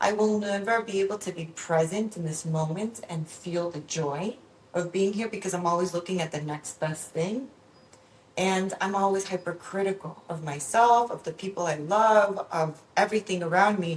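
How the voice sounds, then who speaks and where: Delivered at a moderate pace, the somewhat breathy voice shows ordinary pitch variation. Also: woman, medium pitch for a woman. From Venezuela, raised in Miami from age six. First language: Spanish. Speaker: psychologist. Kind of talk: podcast interview.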